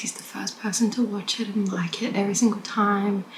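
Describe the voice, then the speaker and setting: A woman whispers over noticeable background noise. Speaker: vlogger. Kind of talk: casual vlog talk to camera. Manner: whispering; hesitant, many fillers.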